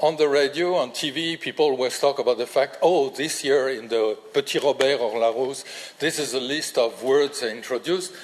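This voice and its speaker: With a French accent, a man talks at a moderate pace with hardly any pauses. His voice is fairly high, with ordinary pitch variation and noticeable background noise. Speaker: linguistics professor. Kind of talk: lecture. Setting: lecture hall with audience. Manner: halting, many fillers.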